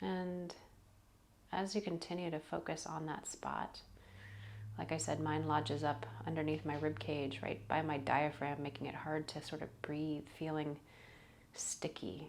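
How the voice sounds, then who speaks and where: At a fairly slow pace, the speaker uses a gentle tone with vocal fry and ordinary pitch variation, leaving long, frequent pauses. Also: woman, very deep, low pitch for a woman. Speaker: yoga teacher and meditation guide. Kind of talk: guided meditation. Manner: gentle, slow, soft-spoken.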